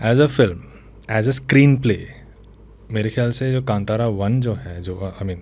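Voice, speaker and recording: A man at a moderate pace and medium pitch, with lively intonation and long, frequent pauses. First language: Tulu (speaking Hindi). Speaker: novelist and screenwriter. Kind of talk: interview conversation.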